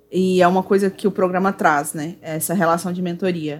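Music sits behind a woman speaking at a medium pitch. Her pace is fairly slow and her intonation fairly even. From Brazil, Goiânia (Centre-West). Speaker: Magic card game judge and English teacher. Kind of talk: casual chat.

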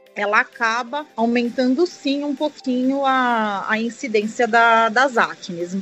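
At a very slow pace yet with hardly any pauses, a woman speaks at a high pitch with ordinary pitch variation. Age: 40s. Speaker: family doctor and dermatologist. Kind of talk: interview. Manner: halting.

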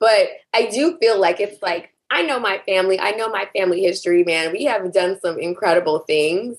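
A woman speaks in an unremarkable speaking voice with an American accent, at medium pitch. Her pace is moderate and her pitch variation ordinary. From US South. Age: 40s. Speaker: beauty brand founder. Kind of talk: casual chat.

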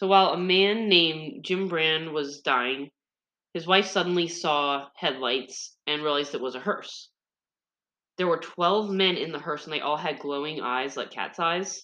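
A woman's animated, playful delivery, bright and sharp in tone, fairly low in pitch, with ordinary pitch variation and a fairly slow pace. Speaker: podcast co-host retelling scary stories. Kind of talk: ghost story telling, summarizing book stories. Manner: animated, playful storyteller; casual, wry asides.

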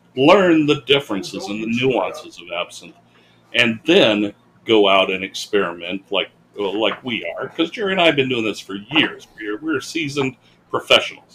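Noticeable background noise sits behind a man speaking at a medium pitch and a moderate pace. His pitch swings very widely and his loudness swings a lot. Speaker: podcast co-host. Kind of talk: casual chat. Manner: joking, laughs often.

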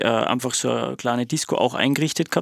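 A man with an ordinary speaking voice talks at a moderate pace. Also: dry, close sound with no echo. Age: 30s. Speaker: music producer and DJ. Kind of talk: casual chat.

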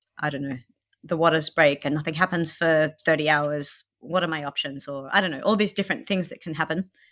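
A woman with an Australian accent, very deep and low in pitch, ordinary pitch variation, in a dry, close sound with no echo. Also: very clean recording, silent background. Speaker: new mother sharing birth story. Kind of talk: interview, personal story.

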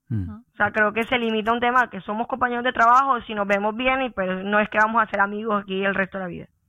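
This woman talks very fast, with hardly any pauses. Her pitch is fairly high and her intonation fairly even. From Colombia, Santa Marta (Caribbean coast). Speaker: engineer. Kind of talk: podcast interview.

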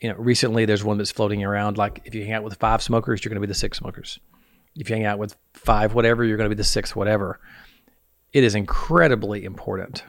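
Talking at a very fast pace, a man with a Southern US accent has a fairly low pitch. His intonation is fairly even, while his loudness swings a lot. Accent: Southern US, mild. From US South. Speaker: podcast host. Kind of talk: casual interview chat.

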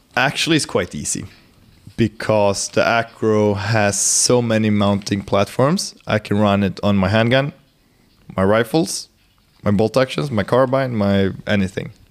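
Fairly slow speech from a man with a Swedish accent. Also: fairly low pitch for a man, ordinary pitch variation. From Sweden. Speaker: hunter and optics sales manager. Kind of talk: casual chat. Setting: company lounge, in person.

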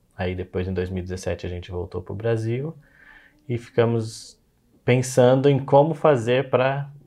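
Against a quiet background, a man with a medium pitch and a dark, mellow tone talks at a moderate pace with ordinary pitch variation and big swings in loudness. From Brazil. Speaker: software developer, immigration client. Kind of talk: interview. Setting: office, in person.

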